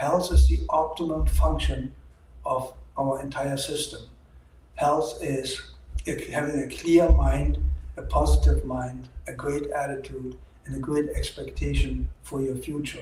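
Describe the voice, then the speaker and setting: The speaker has a German accent, with long, frequent pauses. Loudness swings widely, and room echo is audible. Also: man. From Germany. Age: 60s. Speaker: doctor. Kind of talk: opinion monologue.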